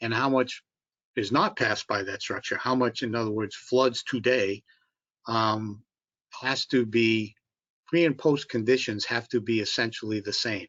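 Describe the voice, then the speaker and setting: With a Massachusetts accent, a man at a medium pitch talks at a moderate pace in a fairly even intonation, leaving long, frequent pauses. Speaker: bridge engineering consultant. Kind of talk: public meeting presentation and Q&A. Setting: online video conference. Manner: halting, many fillers.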